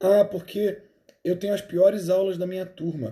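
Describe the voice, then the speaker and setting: A man puts on a whiny character voice at a high pitch. He speaks at a moderate pace with fairly even intonation. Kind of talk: spoken Portuguese. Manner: whiny, self-pitying.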